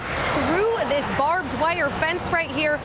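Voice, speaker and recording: A woman with an American accent and ordinary pitch variation, over noticeable background noise. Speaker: local TV news reporter. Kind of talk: TV news reporter package narration.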